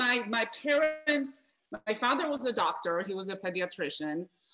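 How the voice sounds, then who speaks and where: Speaking at a moderate pace with a Polish accent, a woman uses a high pitch that swings very widely. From Poland, Wrocław. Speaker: guest, former basketball player, mentor. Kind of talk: casual interview.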